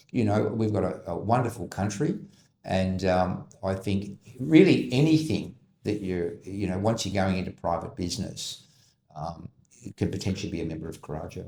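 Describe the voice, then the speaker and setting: A man with a fairly low, dark and mellow voice speaks with lively intonation and a somewhat breathy quality. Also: moderate pace. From Australia. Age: 60s. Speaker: business advisory CEO. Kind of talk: podcast interview.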